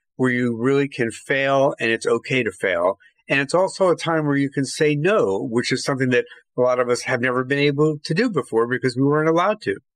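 At a very fast pace, a man speaks with a fairly high pitch and very even loudness. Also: dry, close sound with no echo. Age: 60s. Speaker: journalist. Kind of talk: podcast interview.

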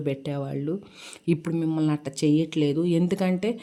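Very deep and low, this woman's voice has a dark, mellow tone. The recording is very clean, with a silent background. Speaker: vlogger. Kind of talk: casual vlog chat while cooking.

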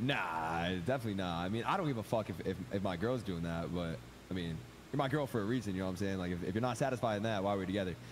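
Very fast male speech, fairly low in pitch with ordinary pitch variation, over light background noise. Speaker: online gamer. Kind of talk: casual chat. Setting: video call. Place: home room.

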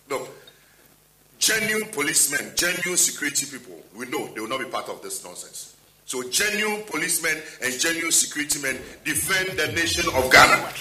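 Speaking at a fairly quick pace, a man's voice rises and falls sharply in loudness against audible room echo. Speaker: party spokesperson. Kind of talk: press conference statement. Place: hall. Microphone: podium.

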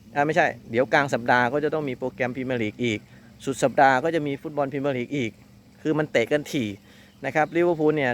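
A man with a plain, everyday voice speaks at a fairly high pitch with fairly even intonation, in a very clean recording with a silent background. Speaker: football commentator and analyst host. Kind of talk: football match preview, casual talk to camera.

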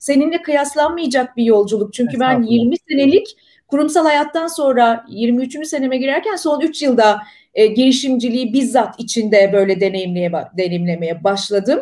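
Over a quiet background, a woman with a high pitch and a dark, mellow tone speaks with lively intonation. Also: moderate pace. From Turkey. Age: 40s. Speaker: live stream host, entrepreneur; live stream host. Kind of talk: live interview stream. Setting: live online broadcast. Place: home room.

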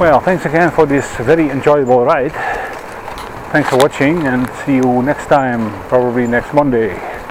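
With a Dutch accent, a man talks at a moderate pace and fairly even intonation, in a dry sound with no echo over noticeable background noise. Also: medium pitch for a man. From Netherlands. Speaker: vlogger. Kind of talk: vlog narration while cycling. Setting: outdoors on a bicycle. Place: bicycle. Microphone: helmet.

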